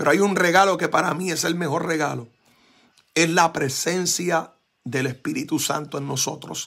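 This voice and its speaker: Fairly slow speech from a man with a fairly high pitch and a bright, sharp tone, over a quiet background. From Puerto Rico. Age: 40s. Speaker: pastor. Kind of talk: sermon. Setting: church. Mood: grateful, fervent, emotional. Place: home room. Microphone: phone near.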